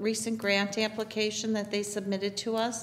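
Light background noise sits behind the speaker. A woman talks at a moderate pace. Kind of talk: reading meeting minutes and roll call. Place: meeting room.

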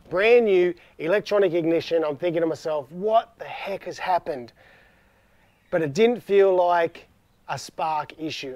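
A man with an Australian accent speaks at a moderate pace and high pitch with ordinary variation, in a dry sound with no echo and a quiet background. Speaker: car DIY video host; DIY vehicle channel host. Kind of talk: tutorial. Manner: casual, relaxed. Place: garden.

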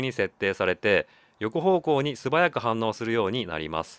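The sound is dry and close, with no echo. A man speaks at a fairly quick pace, his pitch swinging very widely. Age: 40s. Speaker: YouTuber reviewing camera gear on station walks. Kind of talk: post-recorded voice-over narration of product review.

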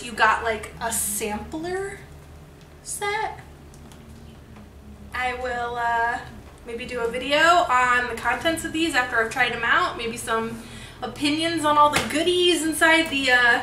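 A woman talks at a fairly slow pace in a raised, projected voice. There is audible room echo and light background noise. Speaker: beauty vlogger. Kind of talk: casual vlog chat. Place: home room. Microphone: camera far.

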